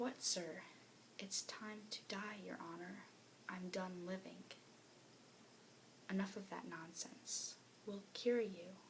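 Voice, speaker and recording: A soft-spoken woman talks very slowly with long, frequent pauses and fairly even intonation over noticeable background noise. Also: medium pitch for a woman. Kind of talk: read story.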